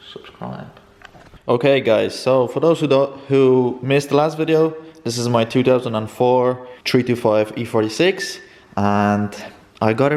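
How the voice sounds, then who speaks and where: A man with a Polish accent at a moderate pace, ordinary pitch variation, and noticeable background noise. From Poland. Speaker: car vlogger. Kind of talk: casual unboxing vlog.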